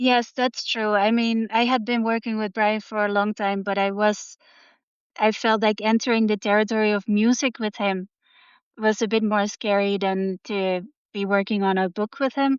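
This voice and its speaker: A woman's fairly high voice in a Dutch accent, with monotone, flat intonation at a moderate pace. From Netherlands. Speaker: artist and novelist. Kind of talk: interview.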